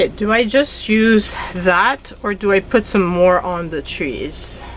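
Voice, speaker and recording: A woman with a Quebec accent speaks at a very slow pace with medium pitch and ordinary pitch variation. Noticeable background noise is present. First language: French. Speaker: craft YouTuber. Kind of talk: crafting tutorial. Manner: casual, chatty.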